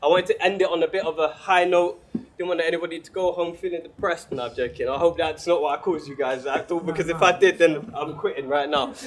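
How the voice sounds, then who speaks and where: At a very fast pace, a man speaks in a high voice. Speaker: spoken word poet. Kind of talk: poetry performance at open mic.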